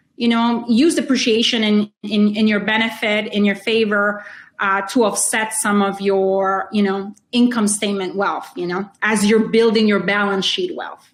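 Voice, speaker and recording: A woman with a Spanish accent speaks at a moderate pace, her medium pitch moving with ordinary variation. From Honduras. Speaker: real estate investor. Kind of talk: interview.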